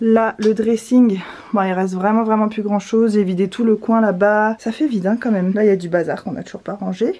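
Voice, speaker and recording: A woman with a fairly high pitch and a dark, mellow tone speaks at a fairly quick pace with fairly even intonation. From Réunion. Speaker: vlogger. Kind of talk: casual talk to camera.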